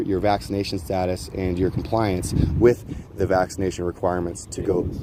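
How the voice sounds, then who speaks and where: Speaking with an American accent, a man uses a fairly low pitch at a fairly quick pace. Noticeable background noise is present. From Ohio, US. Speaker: livestreamer, convoy documentarian. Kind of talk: casual street chat. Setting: outdoors on street. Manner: animated.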